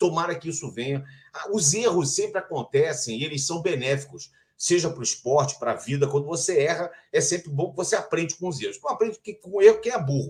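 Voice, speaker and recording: A man speaks at a very fast pace. His high voice carries lively intonation. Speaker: sports journalist and broadcaster, Formula 1 TV narrator. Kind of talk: interview answer about Formula 1.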